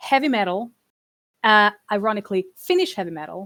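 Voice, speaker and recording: A woman at a moderate pace, in a Hungarian accent, on a very clean recording with a silent background. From Hungary (small town). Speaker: trade commissioner for games and esports. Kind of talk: presentation talk on a stream. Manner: halting, many fillers and repetitions.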